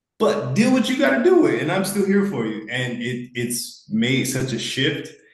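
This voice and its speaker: A man with an American accent, lively intonation and audible room echo. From United States. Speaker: participant. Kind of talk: testimony.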